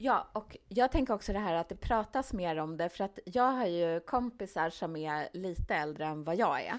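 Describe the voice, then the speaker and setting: At a moderate pace and medium pitch, a woman speaks in a plain, everyday voice with hardly any pauses. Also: lively intonation. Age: 40s. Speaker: podcast co-host, author. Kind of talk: casual chat.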